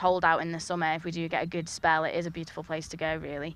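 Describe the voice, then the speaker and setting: A woman talks very fast in a fairly low, monotone voice with flat intonation. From Isle of Man. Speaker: guest commentator from visiting team. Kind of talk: casual chat during live cricket commentary.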